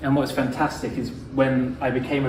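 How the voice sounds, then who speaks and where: A man with a British accent speaks at a moderate pace, with noticeable background noise and audible room echo. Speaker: pharmacist and speaker. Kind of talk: lecture. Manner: casual with frequent fillers.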